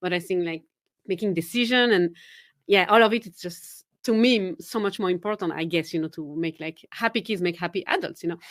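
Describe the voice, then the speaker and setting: Speaking with a Swiss French accent at a fairly quick pace, a woman has a medium pitch and ordinary pitch variation on a very clean recording with a silent background. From Switzerland, Geneva. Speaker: confidence coach. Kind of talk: podcast interview.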